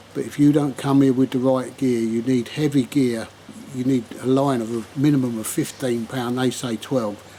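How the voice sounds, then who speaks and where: Noticeable background noise sits behind a man speaking at a moderate pace. His medium-pitched voice has a relaxed tone and a monotone, flat intonation. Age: 70s. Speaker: angling vlogger. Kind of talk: casual fishing vlog summary to camera. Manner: relaxed, conversational with fillers.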